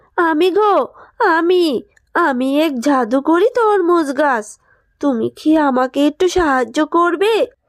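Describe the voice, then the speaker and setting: In a cartoonish character voice, a woman speaks at a fairly slow pace and an extremely high pitch, on a very clean recording with a silent background. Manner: gentle, plaintive.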